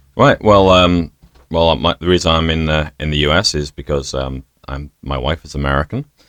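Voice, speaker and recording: A man with a British accent speaks in a very deep, low voice at a moderate pace. His intonation is fairly even, and the sound is dry and close with no echo. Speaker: bar owner. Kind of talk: interview conversation. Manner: hesitant, many fillers.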